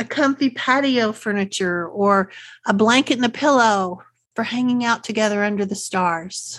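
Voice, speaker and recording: A woman with a Texas accent speaks at a fairly slow pace. Her pitch is fairly high. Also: quiet background. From Central Texas. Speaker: podcast host, unschooling parent. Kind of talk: solo podcast talk. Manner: friendly, conversational.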